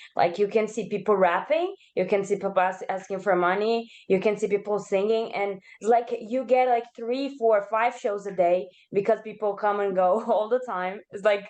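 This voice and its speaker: Speaking in a Portuguese accent, a woman uses a medium pitch and fairly even intonation. Her pace is moderate. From Brazil. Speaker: participant in cultural exchange session. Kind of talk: casual chat.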